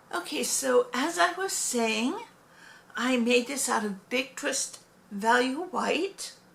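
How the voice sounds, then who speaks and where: Speaking at a very slow pace over noticeable background noise, a woman uses a high pitch with very wide pitch swings. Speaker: crochet hobbyist vlogger. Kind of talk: casual show-and-tell tutorial. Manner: hesitant with fillers.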